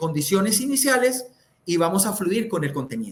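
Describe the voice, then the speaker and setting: A loud man speaks at a high pitch with very wide pitch swings. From Colombia, Santander. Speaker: communication speaker. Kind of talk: interview. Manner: loud, high tone.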